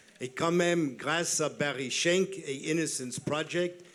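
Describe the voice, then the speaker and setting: A man speaks at a fairly slow pace with fairly even intonation, and noticeable background noise can be heard. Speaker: audience member. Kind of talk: audience question.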